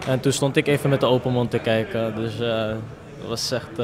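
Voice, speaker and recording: A man speaks at a fairly slow pace with ordinary pitch variation over noticeable background noise. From Amsterdam, Netherlands. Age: 20s. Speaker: football player. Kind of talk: post-match interview. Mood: happy, modest. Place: hall. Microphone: handheld.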